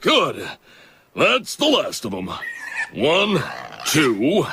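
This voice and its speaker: Using a cartoonish character voice, a man speaks at a very slow pace. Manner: stern, gruff.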